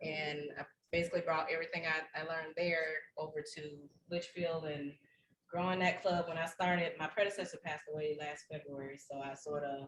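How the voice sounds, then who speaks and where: A woman speaks at a fairly quick pace with a Southern US accent. Her pitch is very deep and low, and her intonation stays fairly even. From Alabama. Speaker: service club officer. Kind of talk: self-introduction at a meeting.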